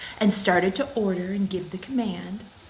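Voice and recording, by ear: Someone is reading aloud in a natural voice. The passage is spoken that way throughout.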